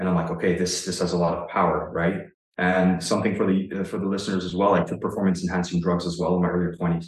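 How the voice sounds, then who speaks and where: Speaking at a very fast pace in a Canadian accent, a man with a very deep, low voice keeps a monotone, flat intonation. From Ontario, Canada. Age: 30s. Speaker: online fitness coach. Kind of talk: casual interview conversation.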